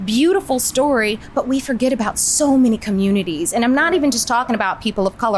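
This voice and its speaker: A woman's lively intonation carries over noticeable background noise. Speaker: actress, voiceover artist, and host. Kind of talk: interview answer.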